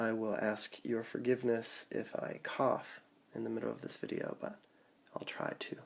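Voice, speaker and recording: A man whispering at a fairly slow pace. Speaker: teacher. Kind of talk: math lesson screencast.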